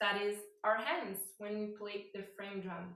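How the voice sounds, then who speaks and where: Amid audible room echo, a woman with a non-native accent speaks at a very slow pace and a fairly high pitch. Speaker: yoga teacher. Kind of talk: guided meditation. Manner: halting.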